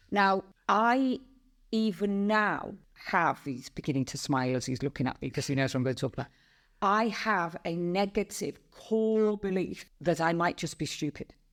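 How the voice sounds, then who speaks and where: On a very clean recording with a silent background, a woman speaks at a moderate pace in a fairly low pitch with very wide pitch swings. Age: 60s. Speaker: podcast host. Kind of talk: casual chat.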